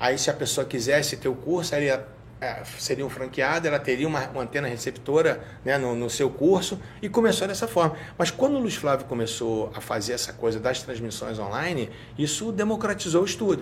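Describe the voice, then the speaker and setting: A man with a Rio de Janeiro accent, fairly high-pitched, with lively intonation at a moderate pace over noticeable background noise. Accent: carioca. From Rio de Janeiro, Tijuca. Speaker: state security secretary and law professor. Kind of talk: casual interview.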